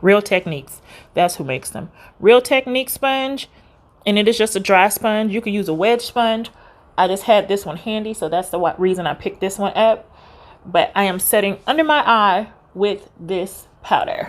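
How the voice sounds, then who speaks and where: A woman with a normal speaking voice talks at medium pitch and a moderate pace with lively intonation, in a very clean recording with a silent background. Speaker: beauty vlogger. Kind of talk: makeup tutorial.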